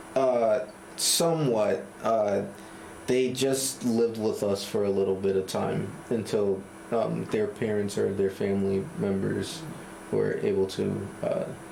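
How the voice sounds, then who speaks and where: Noticeable background noise sits behind a man speaking at a fairly slow pace. His loudness stays very even. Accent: American. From Cambridge, Massachusetts. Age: 20s. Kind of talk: interview answer.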